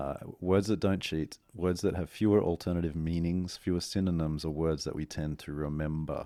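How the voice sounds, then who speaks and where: In an Australian accent, the voice has a dark, mellow tone and fairly even intonation, at a moderate pace with hardly any pauses. The recording is very clean with a silent background. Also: man, very deep, low pitch for a man. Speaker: strategist and author. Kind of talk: casual interview.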